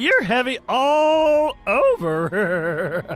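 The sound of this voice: This is a cartoonish character voice pitched high.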